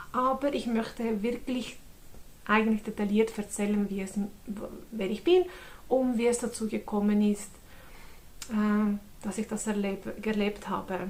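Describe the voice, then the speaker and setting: A woman speaks in a Swiss German accent at a fairly slow pace. Her fairly high voice is somewhat breathy. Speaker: convert giving testimony. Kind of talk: testimony. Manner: halting, many fillers.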